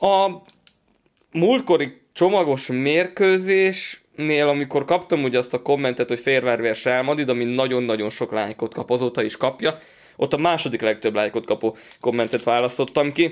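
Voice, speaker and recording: A man speaks at a medium pitch and a moderate pace, with ordinary pitch variation. The background is quiet. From Hungary. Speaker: card-collecting YouTuber. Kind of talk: pack-opening commentary. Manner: animated. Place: home room.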